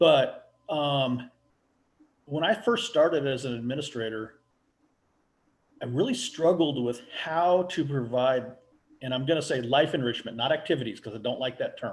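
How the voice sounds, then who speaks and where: With an American accent, a man speaks in a somewhat breathy voice at a fairly high pitch, moderate pace and ordinary pitch variation, leaving long, frequent pauses. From US Pacific Northwest. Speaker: residential care home owner. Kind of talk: casual interview.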